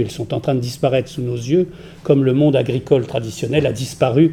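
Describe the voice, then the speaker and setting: A man speaks at a fairly quick pace and a medium pitch, with ordinary pitch variation. His dark, mellow tone is somewhat breathy. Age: 60s. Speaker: art curator and critic. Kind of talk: panel discussion. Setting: round table with audience.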